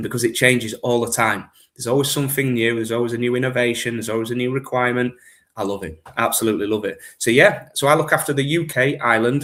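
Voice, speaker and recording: A man with a strong Yorkshire accent talks at a very fast pace and medium pitch with ordinary pitch variation, on a very clean recording with a silent background. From Yorkshire, northern England. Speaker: gift card business manager. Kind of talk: podcast interview.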